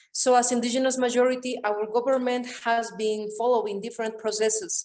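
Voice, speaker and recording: A woman at a fairly high pitch and fairly quick pace, with fairly even intonation and noticeable background noise. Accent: Andean. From Bolivia. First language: Quechua. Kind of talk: webinar panel discussion.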